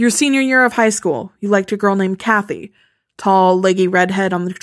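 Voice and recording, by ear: Someone is reading aloud in a natural voice, with ordinary pitch variation. The background is quiet.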